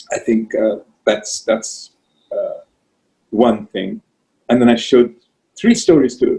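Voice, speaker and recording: A man with a Pakistani accent at a very slow pace, with long, frequent pauses. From Pakistan, Karachi. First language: Urdu. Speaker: writer. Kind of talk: interview. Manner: halting.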